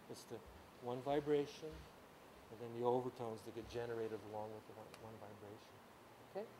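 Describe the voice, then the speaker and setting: A man at a medium pitch with ordinary pitch variation speaks at a very fast pace, broken by long, frequent pauses, with big swings in loudness and audible room echo. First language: Ukrainian. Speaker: music teacher. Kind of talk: lecture. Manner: halting.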